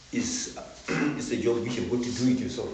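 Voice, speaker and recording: A man's moderately paced speech has audible room echo and noticeable background noise around it. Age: 70s. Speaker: farmer. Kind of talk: interview.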